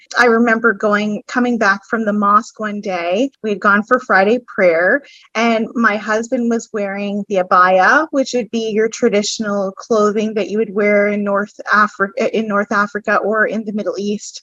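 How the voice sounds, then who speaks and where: A fairly high-pitched woman with a New Brunswick accent, bright and sharp in tone, with fairly even intonation, hardly any pauses and a dry, close sound with no echo. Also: moderate pace. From New Brunswick, Canada. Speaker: podcast guest, business owner. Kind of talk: personal testimony. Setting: podcast.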